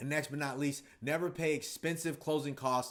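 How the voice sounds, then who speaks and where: The pace is fairly quick and the tone energetic. A man speaks at a fairly high pitch. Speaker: real estate investor and trainer. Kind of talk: casual talking-head video. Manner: fast.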